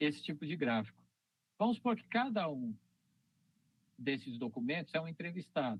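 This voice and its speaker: Using very wide pitch swings, a man speaks at a moderate pace. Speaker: university lecturer. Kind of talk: lecture.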